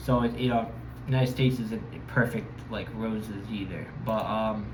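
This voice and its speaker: The speaker talks in a flat monotone with an American accent, with audible room echo and noticeable background noise. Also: man, medium pitch for a man, moderate pace. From Connecticut, US (Bridgeport). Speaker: travel vlogger. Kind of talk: casual monologue. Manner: hesitant, many fillers.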